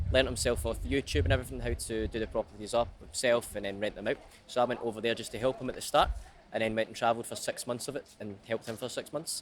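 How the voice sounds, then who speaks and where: A man at medium pitch with vocal fry, talking at a very fast pace with ordinary pitch variation. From Scotland, Ayr. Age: 20s. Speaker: street salesman. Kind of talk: street interview.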